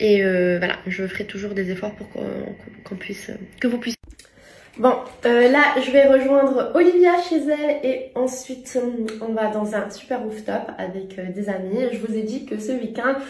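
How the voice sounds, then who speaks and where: A woman at a fairly high pitch with ordinary pitch variation, big swings in loudness, a fairly slow pace, audible room echo, and noticeable background noise. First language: not French (speaking French). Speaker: lifestyle vlogger. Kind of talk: casual vlog talk to camera. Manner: halting, many hesitations.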